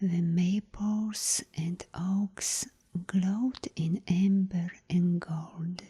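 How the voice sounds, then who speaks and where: This soft-spoken voice moves at a very slow pace in a calm, gentle tone. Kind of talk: bedtime story reading. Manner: soft-spoken, calm, gentle.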